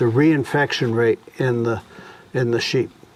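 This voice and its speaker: Noticeable background noise is audible throughout. Over it, a man talks. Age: 70s. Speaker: farmer. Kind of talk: interview.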